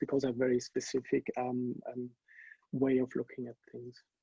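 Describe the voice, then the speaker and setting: A man speaks with a German accent at a moderate pace. The sound is dry and close, with no echo. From Germany. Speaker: pharma industry scientist and panelist. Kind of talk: webinar panel introduction. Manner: hesitant, many fillers.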